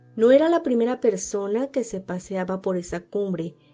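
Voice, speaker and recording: A woman is speaking with ordinary pitch variation. Music plays in the background. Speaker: podcast host and narrator. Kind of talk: horror story reading.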